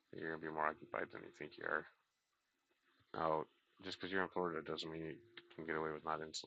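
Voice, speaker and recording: The voice is soft-spoken, bright and sharp in tone, with monotone, flat intonation. It moves at a very fast pace, broken by long, frequent pauses. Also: man. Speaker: aquarium hobby livestreamer. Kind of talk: casual livestream chat. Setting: live stream reading chat.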